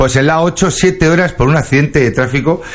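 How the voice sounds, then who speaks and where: A man with an animated tone. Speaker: radio comedy host. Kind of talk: comedic radio show.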